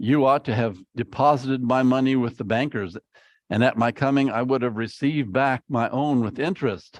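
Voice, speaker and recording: A man with a plain, everyday voice speaks at medium pitch and a moderate pace, with ordinary pitch variation, a dry, close sound with no echo and a quiet background. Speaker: preacher. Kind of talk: sermon.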